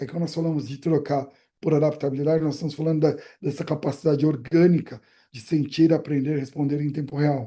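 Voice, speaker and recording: A man speaks very fast in a fairly high, somewhat breathy voice with a dark, mellow tone. His intonation is monotone and flat, while his loudness swings widely. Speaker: brand strategy specialist. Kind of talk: presentation on video call. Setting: video call.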